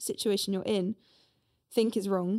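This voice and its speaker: A woman speaks at a moderate pace with a medium pitch and a dark, mellow tone. The sound is dry and close, without echo. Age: 20s. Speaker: youth organizer, podcast co-host. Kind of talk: casual chat.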